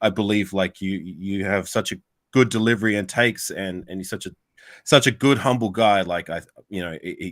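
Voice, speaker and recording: A man with an Australian accent talks at a fairly quick pace in a fairly low pitch. The recording is very clean, with a silent background. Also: ordinary pitch variation, big swings in loudness. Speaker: sports YouTuber, panel guest. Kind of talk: casual podcast chat. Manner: halting, many fillers and repeats.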